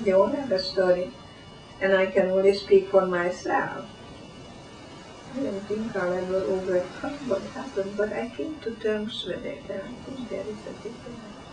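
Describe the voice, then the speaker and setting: Speech at a moderate pace, with noticeable background noise. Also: woman, medium pitch for a woman, ordinary pitch variation, big swings in loudness. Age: 80s+. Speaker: Holocaust survivor. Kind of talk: interview answer.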